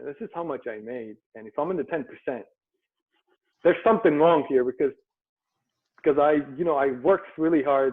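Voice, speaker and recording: Lively intonation in a Turkish accent at a fairly quick pace. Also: man. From Turkey, Istanbul. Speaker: entrepreneur. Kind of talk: interview. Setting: video call.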